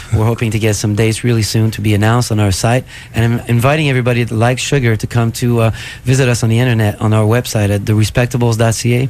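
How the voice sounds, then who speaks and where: Speaking with a Quebec accent, a man talks at a very fast pace and medium pitch. His loudness is very even, his intonation monotone and flat, with noticeable background noise. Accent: Québécois French accent in English. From Quebec City. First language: French. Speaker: rock musician. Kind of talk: radio interview. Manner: hesitant, many fillers.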